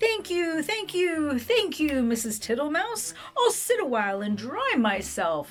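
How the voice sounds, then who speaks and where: Faint music plays in the background. A woman does a put-on character voice at a fairly slow pace. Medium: read story. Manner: slow, repetitive, smiling.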